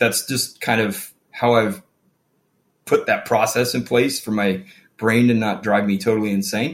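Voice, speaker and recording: This man has an unremarkable speaking voice with an American accent. His pitch is medium and his intonation fairly even. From Phoenix, Arizona. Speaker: business owner in the plumbing trade. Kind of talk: interview conversation.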